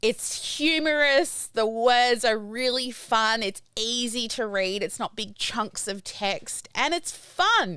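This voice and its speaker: Very slow speech from a woman, fairly high in pitch, with lively intonation, hardly any pauses and noticeable background noise. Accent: Australian. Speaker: podcast host. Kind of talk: casual interview chat. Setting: live-streamed video podcast.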